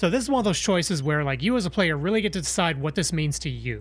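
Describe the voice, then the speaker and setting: The speech is very fast, with an American accent. Music plays in the background. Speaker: vtuber streamer playing video games. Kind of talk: live gaming stream commentary. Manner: casual, chatty.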